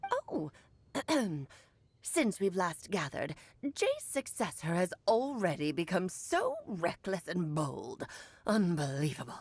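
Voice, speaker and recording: Using a put-on character voice, a woman speaks at a fairly slow pace with long, frequent pauses. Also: medium pitch for a woman. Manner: imperious, scolding.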